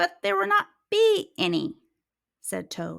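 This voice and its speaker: A woman speaks at a fairly slow pace in a put-on character voice. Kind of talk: children's story read-aloud. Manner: glum, grumpy.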